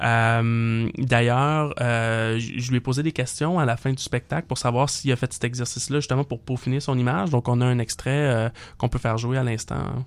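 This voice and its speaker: A man talks at a medium pitch with hardly any pauses and very even loudness. The recording is very clean, with a silent background. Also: fairly even intonation, moderate pace. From Quebec, Montreal (Saint-Léonard). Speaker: political panelist. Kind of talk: political talk show. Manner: hesitant, many fillers.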